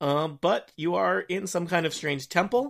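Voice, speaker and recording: A man speaks at fairly high pitch with vocal fry. The recording is very clean, the background silent. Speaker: game master. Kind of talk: tabletop roleplaying game podcast.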